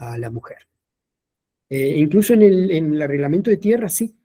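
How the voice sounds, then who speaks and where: A man with a Uruguayan accent speaks in a high pitch with a dark, mellow tone. His pitch swings very widely. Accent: Rioplatense Spanish (Uruguayan). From Montevideo, Uruguay. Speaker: historian and teacher. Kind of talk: lecture.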